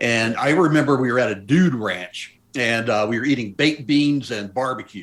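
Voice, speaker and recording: An unremarkable speaking voice belongs to a man with an American accent, medium in pitch with ordinary pitch variation. He keeps a moderate pace with hardly any pauses. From US South, Memphis, Tennessee. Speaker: mountaineer. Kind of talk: interview.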